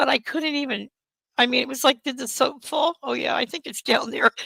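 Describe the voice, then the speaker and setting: A woman's high-pitched, raised and projected voice. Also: dry, close sound with no echo. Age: 60s. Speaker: livestreamer. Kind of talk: casual chat. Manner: animated.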